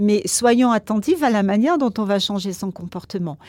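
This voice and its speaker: Using a normal speaking voice, a woman talks at a moderate pace in a fairly high pitch with ordinary pitch variation, the recording very clean with a silent background and a dry, close sound with no echo. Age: 60s. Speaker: psychologist. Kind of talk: casual chat.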